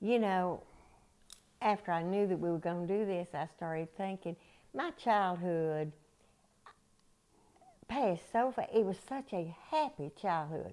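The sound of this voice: A woman speaks at a fairly slow pace with a fairly low pitch and a dark, mellow tone. Her pitch varies in an ordinary way, with long, frequent pauses.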